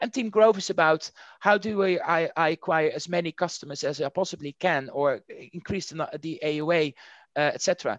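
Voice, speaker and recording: A man's high voice with a Dutch accent, ordinary pitch variation and a fairly quick pace, dry and close with no echo over a quiet background. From Netherlands. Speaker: marketing executive. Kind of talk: interview.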